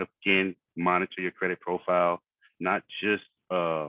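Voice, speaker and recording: In an American accent, a man talks with a very deep, low pitch and a monotone, flat intonation. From Philadelphia, US. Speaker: financial coach. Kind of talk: online workshop presentation. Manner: fast.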